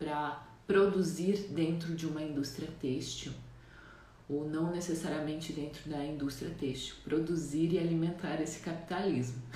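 A woman speaks at a moderate pace with a very deep, low pitch. Her intonation stays fairly even, and the room echoes audibly. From Santa Catarina, Brazil (Jaraguá do Sul). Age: 30s.

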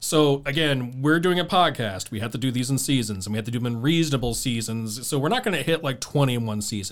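A man with an Ohio accent talks at a very fast pace with hardly any pauses. His pitch is medium, with ordinary variation. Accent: Ohio, with Midwestern US features. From Dayton, Ohio. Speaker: radio DJ and podcast host. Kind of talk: casual chat.

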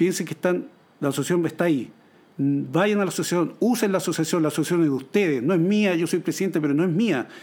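The man's pitch is high. He talks at a very fast pace. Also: ordinary pitch variation. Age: 60s. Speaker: airline captain. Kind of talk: interview. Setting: home studio.

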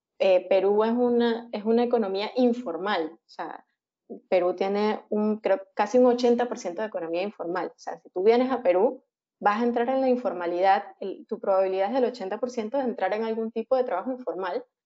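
A woman with an ordinary speaking voice, fairly high in pitch, at a moderate pace, with ordinary pitch variation and big swings in loudness. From Venezuela, Caracas. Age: 30s. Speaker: software engineer. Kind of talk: casual interview.

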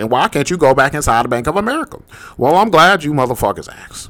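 On a very clean recording with a silent background, a man speaks in an animated, bright, sharp tone. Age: 20s. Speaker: podcaster and streamer. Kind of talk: casual solo podcast, storytelling. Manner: casual, animated, conversational.

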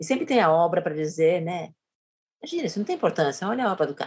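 Somewhat breathy, a woman talks at a very fast pace with very wide pitch swings. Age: 60s. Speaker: university professor and researcher. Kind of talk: interview conversation.

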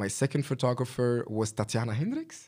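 A man speaks in a plain, everyday voice at a medium pitch and a moderate pace. The recording is very clean, with a silent background. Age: 30s. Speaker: fashion stylist. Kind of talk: casual chat.

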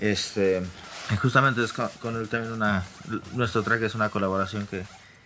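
On a very clean recording with a silent background, the voice moves at a moderate pace with fairly even intonation. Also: man. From Mexico City. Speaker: electronic music DJ and producer. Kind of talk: casual interview.

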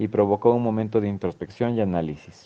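Fairly low in pitch and with fairly even intonation, this man has an unremarkable speaking voice. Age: 20s. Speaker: dance student. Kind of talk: scripted narration.

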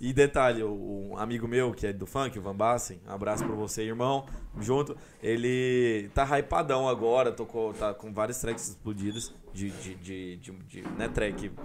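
In a normal speaking voice, a man at medium pitch talks at a fairly slow pace, with ordinary pitch variation and big swings in loudness. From Brazil, Goiânia (Goiás). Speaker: electronic music DJ. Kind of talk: casual interview chat.

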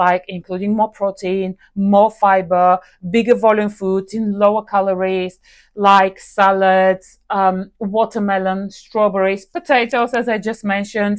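Fairly slow and flat in a monotone, a woman with a Bulgarian accent speaks at a medium pitch against a quiet background. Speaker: nutrition podcast host. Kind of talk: solo podcast talk. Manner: hesitant, many fillers.

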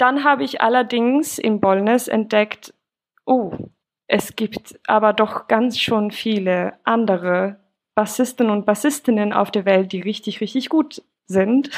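A woman speaks very slowly in a Swedish accent. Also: fairly high pitch for a woman, ordinary pitch variation. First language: Swedish (speaking German). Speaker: musician and bassist. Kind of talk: podcast interview.

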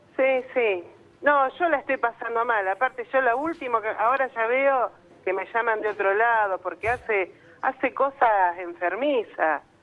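A woman speaks at a fairly slow pace with a fairly high pitch and lively intonation. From Argentina, Santa Fe province. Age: 50s. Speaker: radio caller. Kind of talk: phone-in conversation, emotional personal story.

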